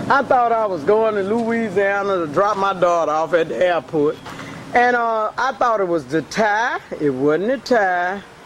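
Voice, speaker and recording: An animated tone and lively intonation over noticeable background noise. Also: woman, medium pitch for a woman, fairly slow pace. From US South, Mobile, Alabama. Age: 60s. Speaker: talk show host. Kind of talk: casual live video chat.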